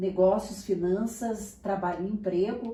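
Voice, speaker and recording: The voice moves at a fairly slow pace with ordinary pitch variation. There is audible room echo and noticeable background noise. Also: woman. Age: 60s. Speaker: journalist and university lecturer. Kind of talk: interview.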